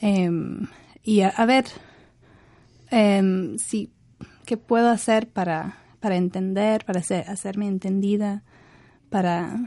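A woman's medium-pitched voice with an English accent and a dark, mellow tone, very slow, with fairly even intonation and long, frequent pauses against a quiet background. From northern England, Leeds. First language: English (speaking Spanish). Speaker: university professor. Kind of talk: radio interview. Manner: halting, many fillers.

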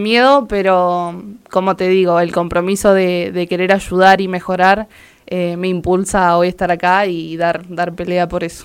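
The pace is moderate. The recording is very clean and the background silent. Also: woman. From Argentina, Entre Ríos. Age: 20s. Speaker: local political candidate. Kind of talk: interview.

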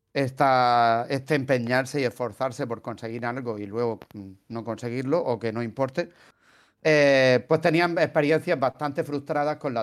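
In a very clean recording with a silent background, a man at medium pitch talks at a fairly slow pace with fairly even intonation. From Spain, Murcia. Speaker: podcast host, translator. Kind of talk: casual chat.

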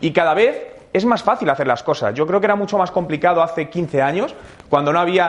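Over noticeable background noise, a man speaks at a fairly quick pace in a high pitch with ordinary pitch variation. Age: 30s. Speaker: digital marketing speaker. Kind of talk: interactive talk to audience.

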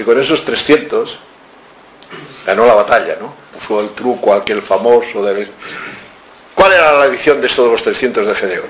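Over noticeable background noise and audible room echo, a man talks at a moderate pace with long, frequent pauses. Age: 70s. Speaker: author. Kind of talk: lecture. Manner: animated.

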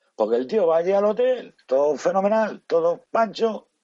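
A man speaks with a high-pitched voice. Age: 50s. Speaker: taxi driver. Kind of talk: casual chat.

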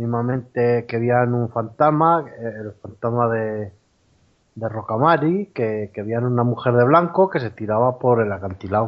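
This man's voice sits at a medium pitch and keeps ordinary pitch variation. He speaks at a fairly slow pace. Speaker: former soldier sharing a paranormal experience. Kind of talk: testimony. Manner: halting, many repetitions.

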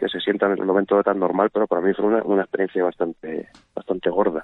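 Fairly low in pitch, a man talks at a very fast pace. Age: 50s. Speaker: musician. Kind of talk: casual chat. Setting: phone call. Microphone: phone-quality sound.

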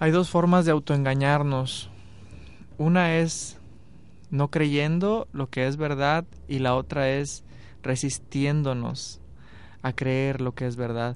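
At a very slow pace with long, frequent pauses, a man speaks at a fairly high pitch and fairly even intonation. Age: 30s. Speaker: radio host. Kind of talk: radio interview. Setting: radio studio.

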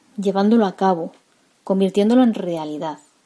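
A woman speaks in a medium pitch with lively intonation. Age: 40s. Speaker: personal development podcaster. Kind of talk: guided reflection; motivational monologue.

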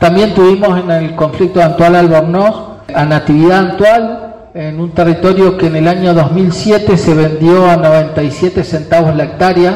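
A man speaks fairly slowly in a high pitch, with fairly even intonation and hardly any pauses. Noticeable background noise and audible room echo surround him. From Río Negro, Argentina. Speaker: Mapuche community leader. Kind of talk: speech.

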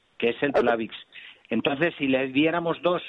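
A man at a medium pitch and moderate pace, in a plain, everyday voice. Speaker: doctor answering listener calls. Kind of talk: radio health call-in advice. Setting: radio phone-in show.

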